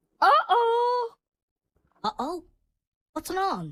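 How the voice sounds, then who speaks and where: This cartoonish character voice is squeaky, pitched extremely high. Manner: flustered, comic.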